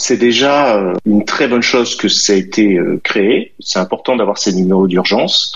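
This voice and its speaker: Noticeable background noise sits under a man's medium-pitched speech. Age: 40s. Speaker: entrepreneur. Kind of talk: radio interview. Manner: halting.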